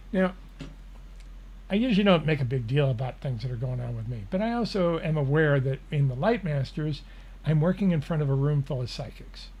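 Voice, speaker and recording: A man's fairly high voice, somewhat breathy, with lively intonation at a fairly quick pace. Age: 70s. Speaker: spiritual channeler and show host. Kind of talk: live Q&A, reading and answering viewer questions. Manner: casual, conversational.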